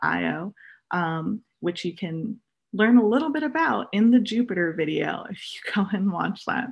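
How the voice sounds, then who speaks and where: A somewhat breathy woman with ordinary pitch variation, against a quiet background. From Oahu, Hawaii; Hawaii. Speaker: astronomy outreach assistant; guest. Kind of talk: presentation. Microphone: video call.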